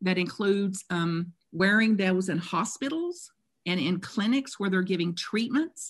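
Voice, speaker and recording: Somewhat breathy, a woman of medium pitch speaks at a fairly slow pace with lively intonation. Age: 60s. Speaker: spiritual author. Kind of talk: interview. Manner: animated.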